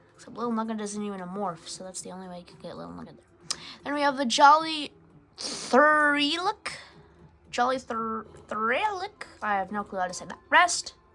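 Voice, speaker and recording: Against noticeable background noise, a woman with a fairly high voice speaks at a moderate pace, her pitch swinging very widely and her loudness varying a lot. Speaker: gaming YouTuber. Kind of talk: gameplay commentary. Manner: hesitant, many fillers.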